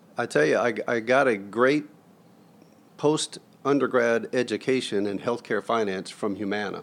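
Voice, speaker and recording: At a moderate pace, a man speaks in a medium-pitched voice with ordinary pitch variation. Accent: American. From US South (Florida/Georgia). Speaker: hospital chief financial officer. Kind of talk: interview.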